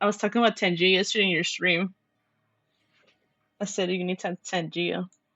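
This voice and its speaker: With music in the background, a woman speaks at a very fast pace with long, frequent pauses, a medium pitch and a monotone, flat intonation. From Mexican heritage. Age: adult. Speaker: vtuber streamer. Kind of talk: casual gaming livestream chat. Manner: keeps an indoor voice, not loud.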